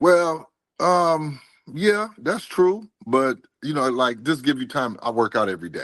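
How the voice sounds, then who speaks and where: Very wide pitch swings mark a man's fairly high voice as he talks at a fairly slow pace. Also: quiet background. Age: 60s. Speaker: delivery driver, former railroad worker. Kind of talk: interview. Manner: animated.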